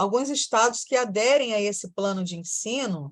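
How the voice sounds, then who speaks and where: A woman talks at a moderate pace in an unremarkable speaking voice, her pitch fairly high with ordinary variation. The background is quiet. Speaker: teacher. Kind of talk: lecture.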